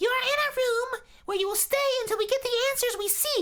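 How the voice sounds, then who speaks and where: This put-on character voice is squeaky and shrill, delivered at a fairly quick pace. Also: man, extremely high pitch for a man. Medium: read story. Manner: entitled, whiny, overdramatic.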